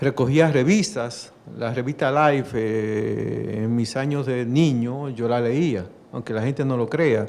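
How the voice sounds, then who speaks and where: This man talks very slowly at a medium pitch, with ordinary pitch variation. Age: 60s. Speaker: judge. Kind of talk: talk to an audience. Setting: library event with audience.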